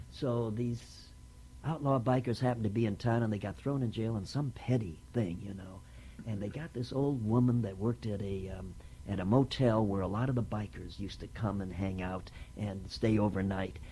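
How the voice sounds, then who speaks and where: A man with a dark, mellow, somewhat breathy tone and a fairly low pitch, with ordinary pitch variation at a moderate pace. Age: 70s. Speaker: actor, writer and producer. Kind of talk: oral history interview. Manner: halting, with many fillers.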